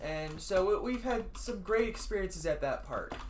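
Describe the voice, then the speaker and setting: Noticeable background noise accompanies the voice. The pace is fairly slow. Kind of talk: casual gaming chat storytelling.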